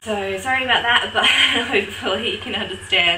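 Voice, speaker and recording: Noticeable background noise sits behind a woman with an Australian accent. Her pitch is medium, with ordinary variation. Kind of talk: casual talk to camera.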